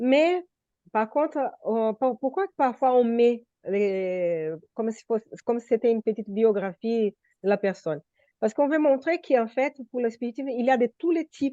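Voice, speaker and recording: Heard in a dry, close sound with no echo, the speaker uses a dark, mellow tone and a non-native accent, moving at a moderate pace with lively intonation and big swings in loudness. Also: woman, fairly high pitch for a woman. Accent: foreign accent in French. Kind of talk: group study discussion. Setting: video call.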